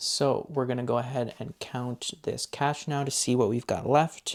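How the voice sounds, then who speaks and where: A soft-spoken man at medium pitch with monotone, flat intonation. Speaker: budgeting YouTuber. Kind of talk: casual tutorial. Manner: counting aloud.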